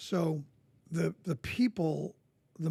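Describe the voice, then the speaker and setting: In an American accent, a man speaks with a fairly high pitch and a dark, mellow tone. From New Jersey, US. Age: 60s. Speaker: coach and former Marine. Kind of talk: podcast interview.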